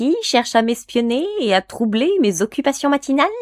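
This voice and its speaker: In a put-on character voice, a woman speaks at a moderate pace, high-pitched, shrill and sing-song. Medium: read story. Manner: singsong, teasing.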